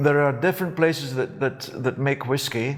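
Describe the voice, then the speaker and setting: A man speaks with a Scottish accent. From Scotland. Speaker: whisky presenter. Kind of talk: interview. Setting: on location at a distillery.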